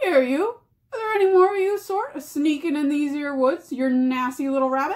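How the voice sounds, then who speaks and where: A woman performs a put-on character voice. She speaks at a high pitch. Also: moderate pace. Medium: read story. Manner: coarse, rough.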